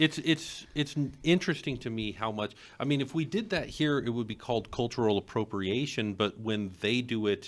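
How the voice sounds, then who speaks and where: On a very clean recording with a silent background, a man in an unremarkable speaking voice talks at a moderate pace and medium pitch, with ordinary pitch variation and hardly any pauses. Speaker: librarian and podcast host. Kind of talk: casual chat.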